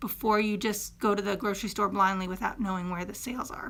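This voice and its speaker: The woman's tone is bright and sharp. The background is silent in this very clean recording. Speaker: fitness coach. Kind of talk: tutorial. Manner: fast.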